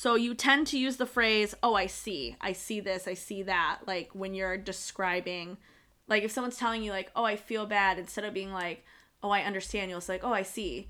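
A woman speaks loudly in a bright, sharp, animated tone over a silent background on a very clean recording. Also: medium pitch for a woman, ordinary pitch variation, moderate pace. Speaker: tarot podcast co-host. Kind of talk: casual chat.

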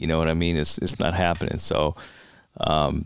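The man has an American accent and keeps up a fairly quick pace. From New York City, the Bronx. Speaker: retired police officer and Marine veteran. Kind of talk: interview conversation.

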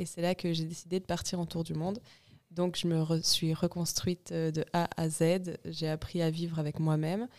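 In an unremarkable speaking voice, a woman with fairly low pitch talks at a moderate pace. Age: 20s. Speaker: clothing company co-founder. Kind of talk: casual interview.

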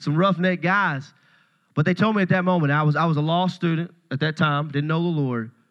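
Against a quiet background, a man with a Tennessee accent talks at a fairly quick pace in a fairly high pitch, his tone animated. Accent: Southern US (Tennessee). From US South, Paris, Tennessee. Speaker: pastor. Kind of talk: sermon.

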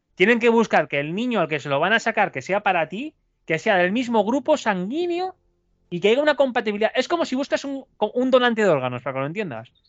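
At a very fast pace, a man with a high pitch talks in very wide pitch swings. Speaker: alchemist. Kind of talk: interview.

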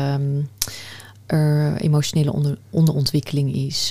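A woman talks with a very deep, low pitch. Noticeable background noise sits behind her. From Netherlands, Afghan family background. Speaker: podcast host. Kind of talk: interview.

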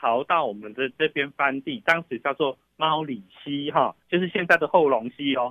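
A man's intonation is lively as he keeps a moderate pace. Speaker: oil company executive. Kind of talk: interview explanation. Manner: halting with many fillers.

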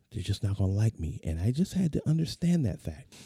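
A man talks with an American accent. His tone is dark and mellow, and somewhat breathy. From US West Coast (San Diego, California). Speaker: podcast host. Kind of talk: motivational monologue. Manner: casual, conversational with fillers.

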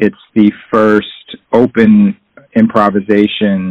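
A man's fairly low-pitched voice with a dry, close sound and no echo. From Boston area, Massachusetts. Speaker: jazz drummer and bandleader. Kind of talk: interview. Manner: halting, many fillers.

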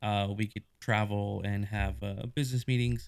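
In a plain, everyday voice, a man speaks at a moderate pace and a fairly low pitch on a very clean recording with a silent background. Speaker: podcast host. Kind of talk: casual chat.

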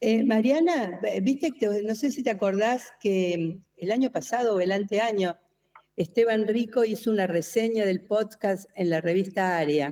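A woman speaks with an Argentine accent at a fairly slow pace. Her pitch is fairly high and her intonation lively. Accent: Argentine (rioplatense). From Argentina. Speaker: design professor. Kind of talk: casual brainstorming panel.

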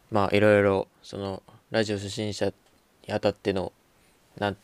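A man with a fairly low voice, recorded very cleanly against a silent background, with a dry, close sound and no echo. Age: young. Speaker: podcast host. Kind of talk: casual chat. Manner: halting.

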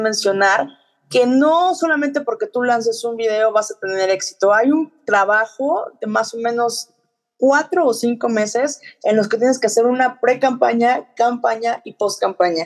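A woman with a Mexican accent speaks at a fairly slow pace. Her fairly high voice has lively intonation. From Mexico. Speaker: finance professional. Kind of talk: interview. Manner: halting, many fillers.

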